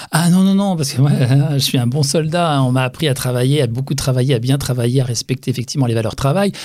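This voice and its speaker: At a very fast pace, a man speaks at medium pitch with ordinary pitch variation and very even loudness. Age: 60s. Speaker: facial massage practitioner. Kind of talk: interview.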